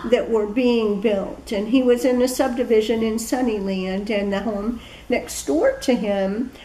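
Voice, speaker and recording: A woman with an American accent speaks at a fairly slow pace and a fairly high pitch. The recording has noticeable background noise and audible room echo. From US Midwest, Peoria, Illinois. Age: 60s. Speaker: local history interviewee. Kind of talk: oral history interview.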